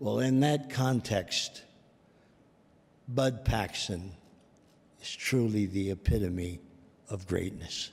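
With long, frequent pauses, a man speaks at a very slow pace in a fairly low pitch with ordinary pitch variation. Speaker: presenter. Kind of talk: tribute speech. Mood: warm, affectionate remembrance. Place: hall. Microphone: podium.

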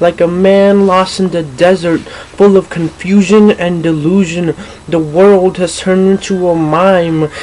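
The speech moves at a fairly slow pace against light background noise. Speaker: spoken word poet. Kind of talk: spoken word poem performance, politically charged protest poetry. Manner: indignant, accusatory, forceful. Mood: angry, political. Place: home room. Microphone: webcam.

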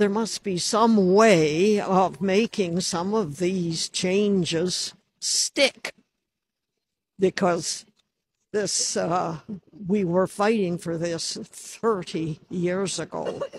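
Over light background noise, a woman speaks at a very slow pace with fairly even intonation, and the sound is dry with no echo. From Canada. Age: 80s+. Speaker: activist. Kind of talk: public statement at a rally. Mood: earnest political complaint. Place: street. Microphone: handheld.

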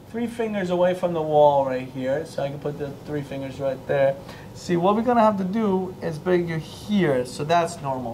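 A moderate pace over light background noise. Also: man. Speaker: chiropractor. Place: office. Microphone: lapel.

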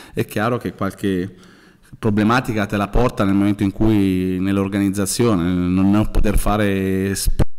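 In a monotone, flat delivery, a man talks at a fairly slow pace. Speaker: football coach. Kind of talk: pre-match press conference. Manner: halting. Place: hall. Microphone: podium.

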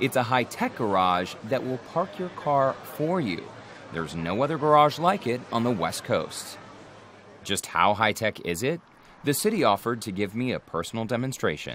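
Very wide pitch swings at a moderate pace, in a dry sound with no echo and light background noise. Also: man. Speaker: TV reporter. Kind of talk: news feature presentation. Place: street.

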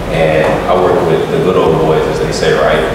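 Speaking at a fairly quick pace with an American accent, a man sounds through strong room echo and noticeable background noise. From St. Petersburg, Florida. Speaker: conference moderator. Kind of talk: panel discussion. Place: hall.

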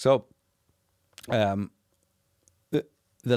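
Against a quiet background, a man with a Northern Irish accent speaks at a fairly slow pace with lively intonation and a fairly low pitch, the sound dry with no echo. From Northern Ireland. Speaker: documentary filmmaker; podcast guest. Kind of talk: interview conversation. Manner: animated. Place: studio. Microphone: studio mic.

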